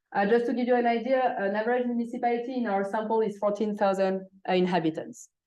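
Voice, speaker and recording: With audible room echo, a woman talks at a fairly quick pace, her fairly high pitch carrying fairly even intonation. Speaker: economics professor. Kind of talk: academic seminar talk. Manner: frequent filler hesitations.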